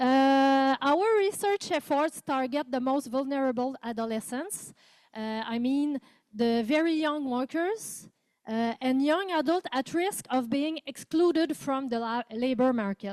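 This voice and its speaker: In a Quebec accent, a woman speaks with a high pitch and lively intonation. Her pace is fairly slow, and the recording is very clean with a silent background. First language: French. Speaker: professor. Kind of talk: conference presentation. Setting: conference room with interpreters. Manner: reading from a script.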